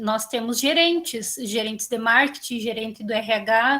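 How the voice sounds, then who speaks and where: This is a plain, everyday voice, with fairly even intonation and a fairly slow pace. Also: woman. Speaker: student. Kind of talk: class discussion. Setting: video call.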